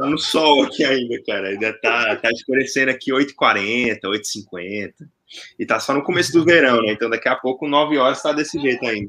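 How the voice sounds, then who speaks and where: The speaker is a man with a bright, sharp tone. His pitch rises and falls an ordinary amount. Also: medium pitch for a man, moderate pace. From Brazil, Brasília. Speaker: data science teacher. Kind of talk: casual chat.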